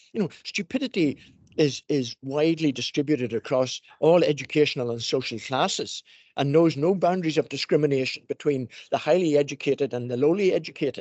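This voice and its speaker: A man with a plain, everyday voice and a fairly high pitch talks fairly quickly, his pitch varying in an ordinary way. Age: 60s. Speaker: education professor. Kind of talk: panel discussion.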